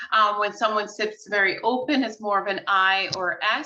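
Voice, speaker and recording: In a New York accent, a woman talks with a bright, sharp tone and fairly even intonation. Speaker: real estate agent. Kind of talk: casual interview.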